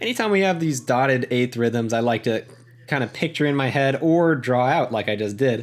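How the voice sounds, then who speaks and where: A man in a normal speaking voice talks at a fairly quick pace and medium pitch, with ordinary pitch variation and very even loudness. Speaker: music teacher. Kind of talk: tutorial.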